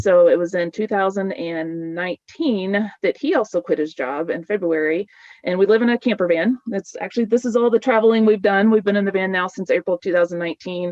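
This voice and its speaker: A woman speaks at a fairly quick pace with hardly any pauses, her medium pitch showing ordinary variation. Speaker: dietitian giving a webinar talk. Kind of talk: webinar presentation. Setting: video webinar. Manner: fast; animated.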